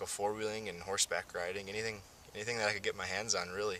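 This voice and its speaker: Over noticeable background noise, someone speaks in a flat monotone with an American accent. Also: man. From North Dakota, US. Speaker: interviewee. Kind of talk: interview. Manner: hesitant, many fillers.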